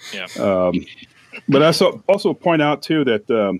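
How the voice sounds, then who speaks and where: A man with an American accent at a moderate pace, very clean recording with a silent background, dry and close with no echo. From St. Louis suburbs, Missouri. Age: 60s. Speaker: retired university employee, podcaster. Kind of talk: casual chat.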